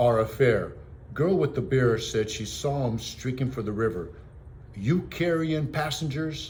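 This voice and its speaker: A man puts on a gruff character voice at medium pitch, speaking at a moderate pace with lively intonation over clear background noise. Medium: read story. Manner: gruff, scoffing.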